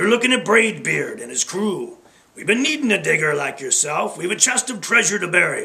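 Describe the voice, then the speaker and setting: A man bellows in a put-on character voice. His pitch sits high. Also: fairly quick pace. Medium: read story. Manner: bellowing.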